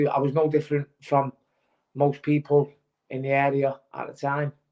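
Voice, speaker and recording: A man speaks with a Manchester accent and a fairly high pitch. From Manchester, northern England. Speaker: former pro boxer. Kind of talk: testimony. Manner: halting, many fillers.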